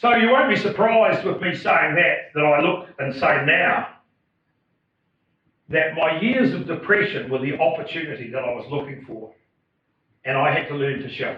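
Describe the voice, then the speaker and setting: With a New Zealand accent, a man speaks at a moderate pace and a fairly high pitch, using very wide pitch swings and long, frequent pauses. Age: 60s. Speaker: farmer and motivational speaker. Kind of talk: public talk. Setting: stage with audience. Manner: halting.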